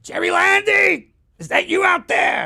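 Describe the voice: Someone shouts in a raspy, put-on character voice at a moderate pace.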